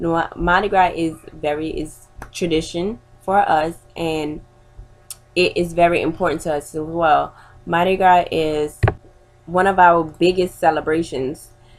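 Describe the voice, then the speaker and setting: With music in the background, a woman speaks at a fairly slow pace in monotone, flat intonation. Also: fairly low pitch for a woman. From New Orleans, Louisiana. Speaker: student. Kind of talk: persuasive class speech. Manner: informal, with hesitations.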